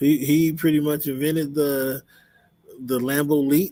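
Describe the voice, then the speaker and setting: In an American accent, a man speaks at a fairly slow pace with a fairly high pitch and monotone, flat intonation. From Seattle. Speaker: sports podcast host. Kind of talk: solo sports podcast talk. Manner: halting, many fillers.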